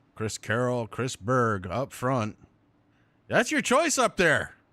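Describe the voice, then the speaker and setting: In a very clean recording with a silent background, a man with a bright, sharp tone and a medium pitch speaks at a very slow pace. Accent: Vermont. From Vermont. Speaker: sim racing commentator. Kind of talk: live commentary.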